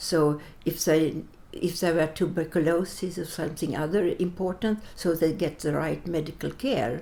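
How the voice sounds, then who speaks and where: At a moderate pace, a woman speaks in a dark, mellow tone, her pitch fairly low with ordinary variation. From Sweden (born in Latvia, fled as a child). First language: Latvian. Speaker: interviewee, wartime refugee. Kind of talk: interview. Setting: Riga. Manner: halting.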